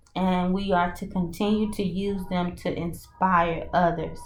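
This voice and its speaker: A woman with a Mississippi accent, speaking at a very slow pace amid audible room echo. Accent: Southern US (Mississippi). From US South, Mississippi. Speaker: spiritual reader and coach. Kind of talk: channeled oracle and tarot message. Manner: halting, with frequent fillers and restarts.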